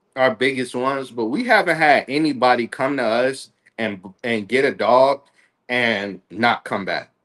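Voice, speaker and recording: Against a quiet background, a man speaks at a fairly slow pace and a medium pitch in an animated tone with ordinary pitch variation. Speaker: dog breeder. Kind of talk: casual chat. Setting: livestream. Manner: loud.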